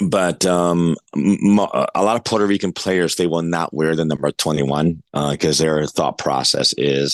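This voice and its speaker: A man with a New York accent speaks at a moderate pace in a very deep, low voice with ordinary pitch variation. His loudness is very even, and the sound is dry and close with no echo. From New York City, East Harlem. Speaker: adaptive athlete and coach. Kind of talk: podcast interview. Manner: halting, many fillers.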